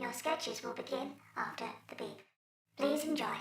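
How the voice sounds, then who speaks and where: A woman speaks at a high pitch and a moderate pace. There is a slight echo. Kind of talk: automated system announcement. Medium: audio drama. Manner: flat, deadpan.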